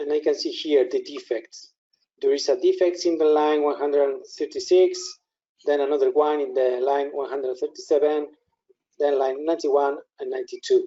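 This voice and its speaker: A man with a Spanish accent speaks at a fairly quick pace. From Spain. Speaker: software product specialist. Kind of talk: software demo tutorial. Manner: halting.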